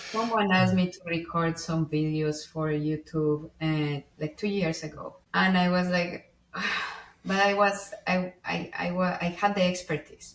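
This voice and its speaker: A woman with a fairly low voice speaks at a fairly slow pace with fairly even intonation over noticeable background noise. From Colombia. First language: Spanish. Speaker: IT engineer. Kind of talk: interview conversation. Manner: expressive inflections.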